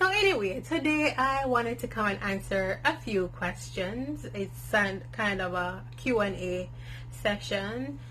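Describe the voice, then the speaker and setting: The speech comes at a fairly slow pace, with audible room echo around it. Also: woman. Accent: strong Jamaican. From Jamaica. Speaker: natural hair vlogger. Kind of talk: casual Q and A vlog. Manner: candid, conversational with fillers.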